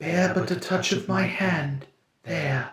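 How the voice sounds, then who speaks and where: In a put-on character voice, a man speaks softly and raspily at a high pitch and fairly slow pace, with slight echo. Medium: read story. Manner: solemn, measured, mild.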